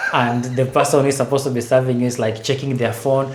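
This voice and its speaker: A man talks at a very fast pace in a medium pitch. There is audible room echo and noticeable background noise. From Kenya. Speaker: renewable energy engineer. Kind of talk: podcast interview. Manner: conversational, many fillers.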